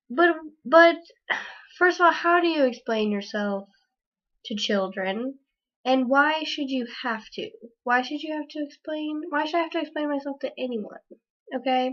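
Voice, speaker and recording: Her high-pitched voice moves at a moderate pace, broken by long, frequent pauses. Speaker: video blogger. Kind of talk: casual vlog monologue. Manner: halting, many fillers.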